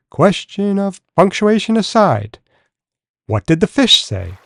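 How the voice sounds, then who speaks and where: Doing a put-on character voice, a man speaks at a high pitch and a fairly slow pace, with a dry, close sound and no echo. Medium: read story. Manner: warm, gently curious.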